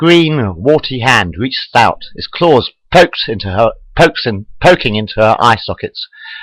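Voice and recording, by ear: A natural voice reading aloud, its intonation lively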